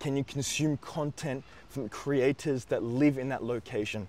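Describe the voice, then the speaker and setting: Speaking at a moderate pace, a man with an Australian accent has a medium pitch. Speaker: YouTuber giving study-abroad advice. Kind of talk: advice monologue.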